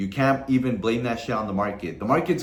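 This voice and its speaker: A man is speaking. Room echo can be heard. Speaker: trading content creator. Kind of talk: casual vlog advice monologue. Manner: casual, heavy swearing slang.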